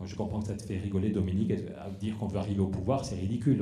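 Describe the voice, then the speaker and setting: Audible room echo surrounds a man with a fairly low voice. He talks at a very fast pace. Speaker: politician. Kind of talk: closing speech at a public debate. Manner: animated.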